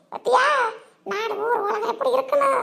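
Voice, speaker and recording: In a squeaky, cartoonish character voice, a woman speaks at a moderate pace with an extremely high pitch and fairly even intonation. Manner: chatty, gossipy, exclaiming.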